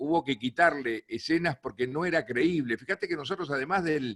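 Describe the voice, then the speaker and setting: Lively intonation from a man with a Uruguayan accent, on a very clean recording with a silent background. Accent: Uruguayan Rioplatense Spanish. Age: 60s. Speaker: plane crash survivor and speaker. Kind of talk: talk to a film club.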